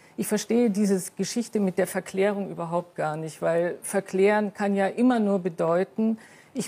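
A dark, mellow tone carries the words at a moderate pace. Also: woman. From East Germany, Saxony (Riesa). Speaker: former athlete, author. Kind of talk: TV panel debate. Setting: TV studio.

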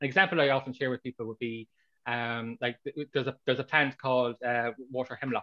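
A man with an Irish accent talks at a fairly quick pace. His pitch is medium, and the background is quiet. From Ireland. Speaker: author. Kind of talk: interview. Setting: video call. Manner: halting. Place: home room.

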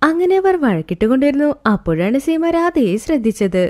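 A woman with a high voice and a slightly mellow tone speaks at a moderate pace, her pitch swinging widely.

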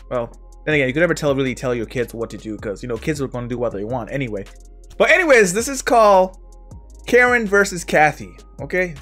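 Faint music sits behind the speech. The man rattles along very fast. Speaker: reaction video creator. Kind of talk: casual vlog chat. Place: home room.

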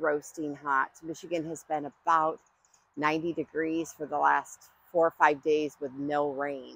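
A woman speaks with a very deep, low pitch in a monotone, flat intonation. Her pace is fairly slow and the sound is dry with no echo. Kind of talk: casual vlog chat. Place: garden. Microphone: lapel.

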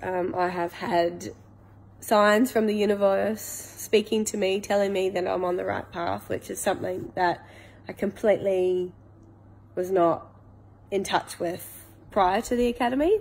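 With a New Zealand accent, a woman speaks at a fairly slow pace and fairly even intonation. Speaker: coaching client / small business owner; coaching client. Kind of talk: testimonial. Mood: warm, reflective, positive. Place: home room. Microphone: phone near.

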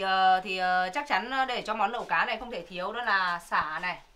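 A woman speaks at a fairly quick pace in a bright, sharp tone. Her pitch variation is ordinary. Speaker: cooking channel host. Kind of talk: casual vlog chat. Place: home room. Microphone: camera far.

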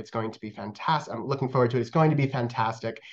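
A man's voice at medium pitch over a quiet background. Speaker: museum education manager. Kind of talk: program introduction. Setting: video call. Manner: halting, many fillers. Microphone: webcam.

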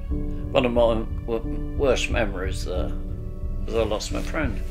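A man talks with long, frequent pauses. Clear music plays in the background. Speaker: WWII RAF ground crew veteran. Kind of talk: interview answer. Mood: somber, reflective recollection. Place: home room.

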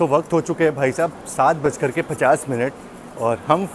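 Light background noise under a man's dry, echo-free voice. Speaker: travel vlogger. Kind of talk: casual vlog chat. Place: station. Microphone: earbuds.

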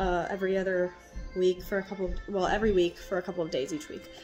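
A woman's voice over clear music in the background. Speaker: stay-at-home mother. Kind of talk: casual talk to camera. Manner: soft-spoken. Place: kitchen. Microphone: phone near.

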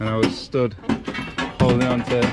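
A man talks. There is music behind him. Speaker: vlogger showing a neighbour's machine. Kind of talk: casual vlog chat. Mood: relaxed, joking. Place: farm machine. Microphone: phone near.

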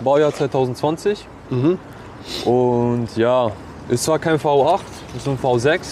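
A man speaks at a very slow pace in a medium pitch, with noticeable background noise. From Switzerland, St. Gallen. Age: 20s. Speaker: car owner, metal industry worker. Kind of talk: interview.

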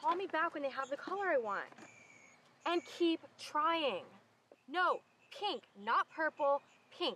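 Her voice raised and projected, a woman speaks at a fairly slow pace with very wide pitch swings, a dry sound with no echo, and light background noise. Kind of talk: acted comedy dialogue. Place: garden.

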